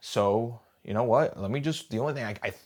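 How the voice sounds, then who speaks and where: A plain, everyday voice from a man with an American accent, medium pitch and moderate pace, on a very clean recording with a silent background. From Wisconsin, US Midwest. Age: 20s. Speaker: job seeker. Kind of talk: personal monologue.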